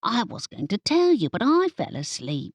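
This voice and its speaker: In a put-on character voice, a woman sounds squeaky at fairly high pitch, swinging very widely in pitch at a moderate pace. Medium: read story. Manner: keeps saying partner.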